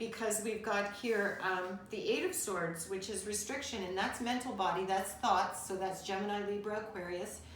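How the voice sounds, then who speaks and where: In a room with audible echo, a woman speaks at a moderate pace in a medium pitch with monotone, flat intonation. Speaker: tarot reader. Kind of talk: tarot reading. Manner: halting, with many fillers.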